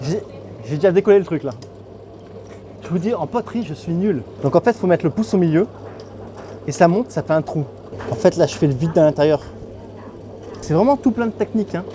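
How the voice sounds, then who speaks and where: Amid noticeable background noise, a man with a high pitch talks at a fairly quick pace with lively intonation and long, frequent pauses. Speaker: travel youtuber. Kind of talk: travel vlog with voice-over. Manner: casual, chatty.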